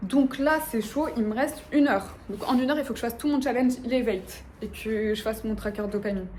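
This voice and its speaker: A woman's fairly high pitch with ordinary pitch variation, a fairly quick pace and hardly any pauses, audible room echo and noticeable background noise. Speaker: lifestyle vlogger. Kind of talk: casual vlog talk to camera. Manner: fast; stumbles over words.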